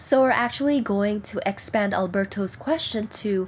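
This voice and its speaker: This woman's voice is somewhat breathy and fairly high in pitch. She speaks at a moderate pace. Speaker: risograph print studio owner. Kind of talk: tutorial talk to camera.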